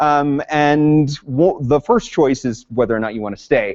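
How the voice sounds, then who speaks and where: A man's loud voice comes through with a dry, close sound and no echo. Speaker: conference presenter, district professional learning lead. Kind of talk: conference workshop presentation. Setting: conference room with live audience. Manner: teacher voice.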